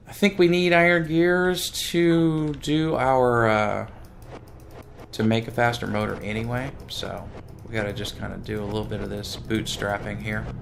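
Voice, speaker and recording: A man at a medium pitch with very wide pitch swings, a moderate pace, audible room echo and music in the background. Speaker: gaming video creator. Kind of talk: let's play gameplay commentary. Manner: animated.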